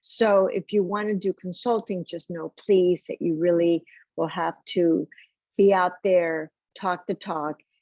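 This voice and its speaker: A woman has an unremarkable speaking voice at medium pitch with fairly even intonation. She talks at a fairly slow pace, with a dry, close sound and no echo. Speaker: healthcare HR consultant, panelist. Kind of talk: panel discussion.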